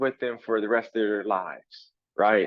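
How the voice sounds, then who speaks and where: A man talks at a fairly slow pace. He has an American accent. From Compton, California. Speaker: street dancer. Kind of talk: interview. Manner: halting, many fillers and repeats; animated.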